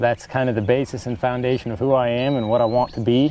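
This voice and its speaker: Over noticeable background noise, a man with an American accent speaks at a fairly quick pace and medium pitch, his intonation fairly even. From Northeast Kansas. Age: 20s. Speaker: hunter, outdoorsman. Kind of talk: interview testimony. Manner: halting.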